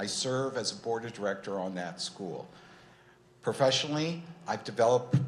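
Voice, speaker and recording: A man speaks in a normal speaking voice at a medium pitch, with ordinary pitch variation. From Southern California, Irvine. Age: 60s. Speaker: mayoral candidate. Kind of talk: candidate forum opening statement.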